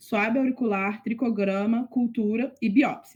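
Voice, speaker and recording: There's a somewhat breathy quality to this woman's voice. Nothing much can be heard behind her. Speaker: veterinary student tutor. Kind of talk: online tutoring lecture.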